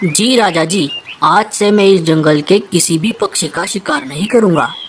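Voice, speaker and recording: A cartoonish character voice at middle pitch goes along at a moderate pace, with clear background noise. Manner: sly, sneering.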